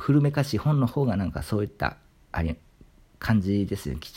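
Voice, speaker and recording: This man has a fairly low voice with very wide pitch swings. The recording is very clean, with a silent background. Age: 30s. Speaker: literature YouTuber. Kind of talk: solo monologue talk.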